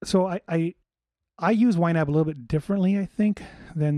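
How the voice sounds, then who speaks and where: Over a quiet background, a man with an American accent talks very fast in a dark, mellow tone with ordinary pitch variation, the sound dry and close with no echo. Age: 40s. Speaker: podcast host, cook. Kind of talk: casual solo talk. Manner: halting, many fillers and restarts.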